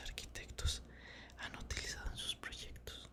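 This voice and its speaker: Someone whispers over noticeable background noise. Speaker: ASMR creator. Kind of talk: book reading. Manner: whispered, soft.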